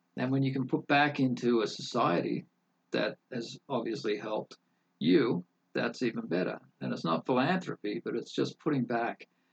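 A man with vocal fry speaks at a moderate pace in a medium pitch, the sound dry and close with no echo. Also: lively intonation. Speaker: entrepreneur. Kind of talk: casual interview chat.

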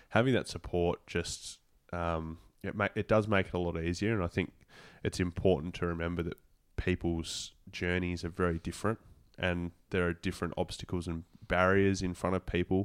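In a dry, close sound with no echo, a man with an Australian accent speaks at a moderate pace in a very deep, low pitch with monotone, flat intonation. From Tasmania, Australia (Devonport). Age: 20s. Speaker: professional footballer. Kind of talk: interview.

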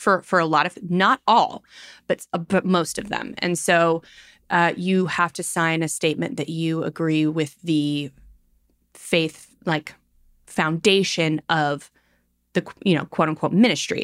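An unremarkable speaking voice moves at a fairly slow pace in a dry, close sound with no echo, on a very clean recording with a silent background. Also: woman, fairly low pitch for a woman, ordinary pitch variation. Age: 30s. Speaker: podcast co-host. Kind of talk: casual chat.

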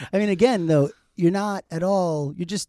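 The recording is dry and close with no echo, and a man with a high pitch and a dark, mellow tone speaks at a moderate pace. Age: 50s. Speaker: podcast host. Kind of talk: casual interview chat. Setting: studio. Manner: animated.

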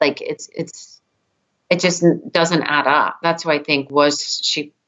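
A woman's fairly low-pitched, a normal speaking voice at a fairly slow pace. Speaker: twin sister of victim, case advocate. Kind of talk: interview, emotional.

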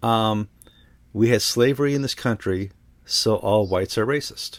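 The man uses a normal speaking voice, talking at a moderate pace and varying his pitch in an ordinary way. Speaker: podcast host. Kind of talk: casual chat.

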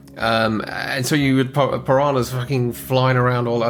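A man talks at a fairly quick pace in a room with audible echo, music playing in the background. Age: 40s. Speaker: movie podcast co-host. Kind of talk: casual chat.

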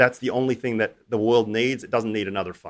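Very fast delivery with fairly even intonation in an Australian accent. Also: man. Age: 40s. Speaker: hedge fund manager. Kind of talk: interview.

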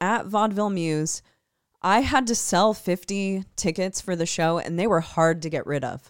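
This woman speaks in a plain, everyday voice at a medium pitch, recorded very cleanly against a silent background. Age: 30s. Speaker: podcast co-host, band vocalist. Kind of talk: casual chat.

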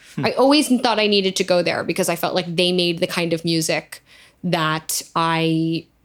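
Very even loudness with ordinary pitch variation. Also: woman. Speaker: singer-songwriter. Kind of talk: casual chat. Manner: fast.

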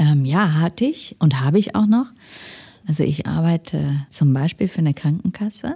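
Speaking fairly slowly, a woman with a very deep, low pitch and a dark, mellow, somewhat breathy tone moves through very wide pitch swings. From Ruhr area, Germany. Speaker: management consultant. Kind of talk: interview. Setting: studio.

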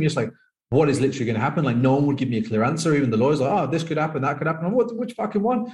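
Somewhat breathy and fairly high-pitched, a man with a Birmingham accent talks at a very fast pace with lively intonation. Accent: Birmingham English (Brummie). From England, Birmingham. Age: 30s. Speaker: professional poker player and coach. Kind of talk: casual interview chat. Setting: remote call.

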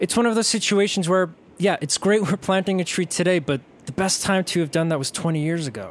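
A man with a New York accent talks at a fairly quick pace in a high pitch. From New York, Staten Island. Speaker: podcast host and storyteller. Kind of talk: personal narrative storytelling.

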